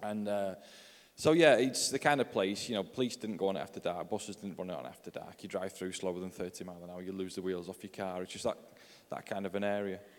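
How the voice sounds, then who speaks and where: With a Yorkshire accent, a man talks at a very fast pace and fairly low pitch, with ordinary pitch variation. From northern England, Yorkshire. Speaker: pastor and author. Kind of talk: testimony.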